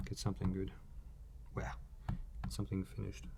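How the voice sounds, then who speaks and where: A man's somewhat breathy voice. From Australia. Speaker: artist. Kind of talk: live drawing stream commentary.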